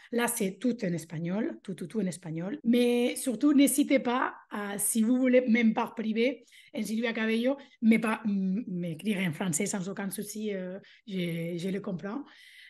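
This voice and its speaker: A woman with a Spanish accent speaks fairly slowly in a fairly high, somewhat breathy voice with ordinary pitch variation. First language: Spanish (speaking French). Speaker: language teacher and mentor for teachers. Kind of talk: interview. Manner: animated.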